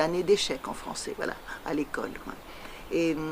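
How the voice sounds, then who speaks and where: A woman with a Tahitian accent speaks at a fairly low pitch with ordinary pitch variation, over noticeable background noise. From French Polynesia (Tahiti). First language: Tahitian (speaking French). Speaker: poet. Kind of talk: interview. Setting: interview in Paris. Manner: halting, many hesitations.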